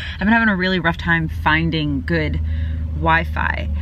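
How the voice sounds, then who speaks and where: A woman at a moderate pace, dry sound without echo, light noise in the background. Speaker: vlogger living in her car. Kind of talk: casual vlog chat. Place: car. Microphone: phone near.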